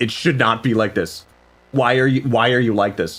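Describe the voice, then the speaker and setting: A man speaks at a medium pitch in an animated tone. His pitch varies in an ordinary way. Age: 20s. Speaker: vtuber musician streamer. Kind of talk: casual live stream chat.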